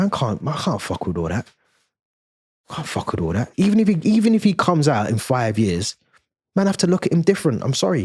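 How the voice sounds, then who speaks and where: A man with a London accent speaks at a fairly quick pace and fairly high pitch in an animated, somewhat breathy voice, his pitch swinging very widely between long, frequent pauses. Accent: London multicultural English. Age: 30s. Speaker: YouTube commentator. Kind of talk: casual commentary monologue.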